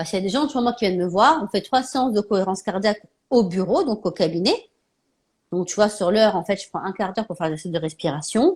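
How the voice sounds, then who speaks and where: Over a very clean recording with a silent background, a woman speaks at a very fast pace with lively intonation. Her voice is somewhat breathy and medium in pitch. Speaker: naturopath and live show host. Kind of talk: casual live interview chat.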